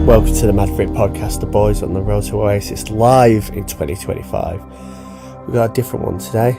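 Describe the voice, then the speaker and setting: Music plays in the background as a man talks at a fairly quick pace. His voice is fairly low in pitch, with lively intonation. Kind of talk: casual podcast talk.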